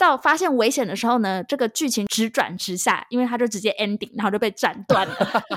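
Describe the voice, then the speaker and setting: Recorded with a dry, close sound and no echo, a woman has a plain, everyday voice at a fairly high pitch. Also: fairly quick pace. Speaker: podcast co-host, movie reviewer. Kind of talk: casual chat, movie review. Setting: remote call.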